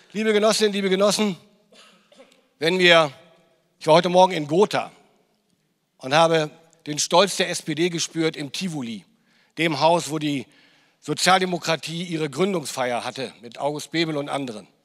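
Against a quiet background, a man talks at a moderate pace with ordinary pitch variation. His loudness swings widely, and long pauses come often. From northern Germany. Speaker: politician. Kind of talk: political speech. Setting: stage with audience. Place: hall. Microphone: handheld.

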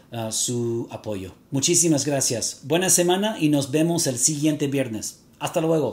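Here a man talks at a fairly slow pace. His pitch is fairly high, with ordinary variation. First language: English (speaking Spanish). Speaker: fragrance reviewer YouTuber. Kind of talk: vlog to camera. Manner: halting, with fillers.

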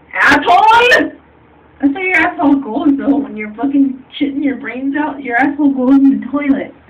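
The speech moves at a moderate pace with ordinary pitch variation over noticeable background noise. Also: woman, high pitch for a woman. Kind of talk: drunken casual complaining. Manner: drunken rambling, echoing in bowl. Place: bathroom. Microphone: phone near.

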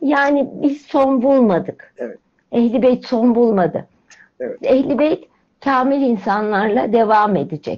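A woman speaks with lively intonation and a high pitch. Her pace is very slow, and the background is quiet. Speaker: religious commentator explaining hymn lyrics; program host or guest. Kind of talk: spiritual talk. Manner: animated. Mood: warm, reverent. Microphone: video call.

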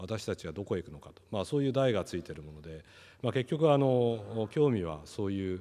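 A man's fairly low, dark, mellow voice at a fairly quick pace, with very wide pitch swings and big swings in loudness. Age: 50s. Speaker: company executive; keynote speaker. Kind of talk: panel presentation. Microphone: podium.

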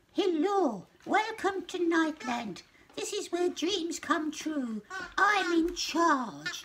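Speaking at a very slow pace, this put-on character voice is squeaky and extremely high in pitch. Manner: friendly, welcoming.

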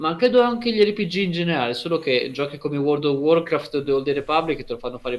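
Talking at a very fast pace with hardly any pauses, a man uses lively intonation and a fairly high pitch. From Emilia-Romagna, Italy (Lugo, near Ravenna); Emilia-Romagna, Italy. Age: 20s. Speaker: university student; guest. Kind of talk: casual interview. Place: home room. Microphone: video call.

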